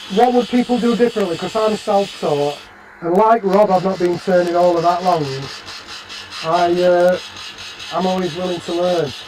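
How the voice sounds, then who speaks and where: Speaking with a Barnsley accent, a man with a high-pitched voice talks at a moderate pace with ordinary pitch variation and long, frequent pauses over noticeable background noise. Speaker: woodturner. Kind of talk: live stream tutorial. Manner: casual, chatty.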